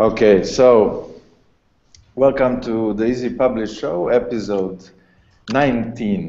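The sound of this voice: A man's fairly low, dark and mellow voice with ordinary pitch variation, slow pace and audible room echo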